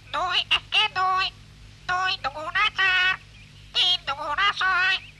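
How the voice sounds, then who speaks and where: In a cartoonish character voice of extremely high pitch, the speaker talks at a very slow pace over light background noise. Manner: parroting, repetitive.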